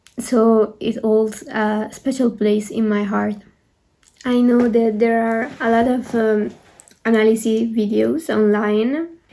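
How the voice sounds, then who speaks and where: A woman with a non-native accent speaks very slowly in a fairly high-pitched, dark, mellow tone with fairly even intonation. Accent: non-native English pronunciation. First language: not English. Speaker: art student and K-pop video creator. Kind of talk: video essay commentary. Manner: hesitant with fillers.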